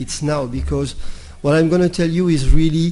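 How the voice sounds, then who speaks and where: A man's somewhat breathy, dark and mellow voice, fairly high in pitch, with ordinary pitch variation at a moderate pace. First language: not English. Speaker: intensive care physician and speaker. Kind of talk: conference talk. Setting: stage with audience. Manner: halting, repeats words.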